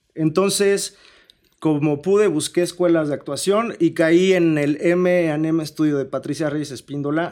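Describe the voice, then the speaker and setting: Using a plain, everyday voice, a man speaks fairly slowly in a fairly high pitch with ordinary pitch variation. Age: 20s. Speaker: artist manager. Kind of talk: casual chat. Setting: studio.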